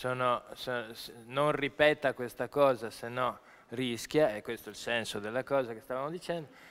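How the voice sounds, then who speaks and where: A man talks at a moderate pace, leaving long, frequent pauses. His intonation is fairly even, yet his loudness swings widely. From Milan, northern Italy. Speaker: journalist and event moderator; speaker. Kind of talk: panel moderation. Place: hall. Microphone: podium.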